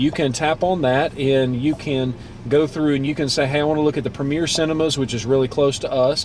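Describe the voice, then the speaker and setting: Fairly quick and fairly high-pitched, a man speaks with a Southern US accent and fairly even intonation. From US South. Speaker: car dealership video host. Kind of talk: tutorial.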